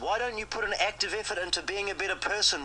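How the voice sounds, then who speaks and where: A man speaks in a raised, projected voice at a high pitch and a very fast pace. Noticeable background noise is present. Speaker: creditor confronting a debtor. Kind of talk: heated phone argument.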